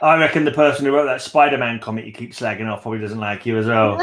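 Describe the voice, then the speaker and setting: A man with an English accent talks at a very fast pace with big swings in loudness over noticeable background noise. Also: medium pitch for a man, ordinary pitch variation. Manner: casual, joking.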